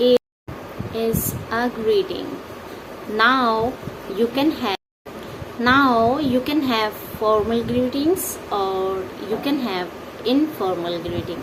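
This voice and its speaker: Her pitch fairly high, a woman speaks with a non-native accent at a very slow pace. Her intonation is lively. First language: not English. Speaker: English teacher. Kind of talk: tutorial. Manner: halting.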